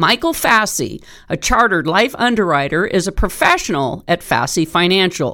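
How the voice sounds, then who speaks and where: With an unremarkable speaking voice, a woman talks at a moderate pace and medium pitch, her intonation lively, on a very clean recording with a silent background. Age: 50s. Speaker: radio talk show host. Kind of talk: scripted narration; interview.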